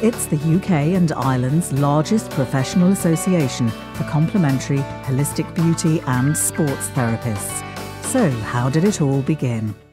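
Against clear music in the background, a woman speaks at a moderate pace in a very deep, low voice with very wide pitch swings, the sound dry with no echo. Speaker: voice actor. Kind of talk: corporate narration.

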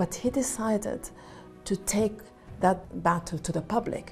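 A woman speaking at a very slow pace, her pitch varying in an ordinary way, with faint music in the background. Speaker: interviewee. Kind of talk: interview answer. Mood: earnest, composed. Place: home room. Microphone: lapel.

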